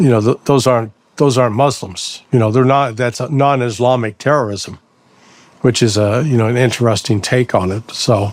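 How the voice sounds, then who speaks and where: With an American accent and an unremarkable speaking voice, a man talks at a moderate pace and medium pitch with fairly even intonation. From United States. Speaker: podcast host, ex-intelligence analyst. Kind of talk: interview.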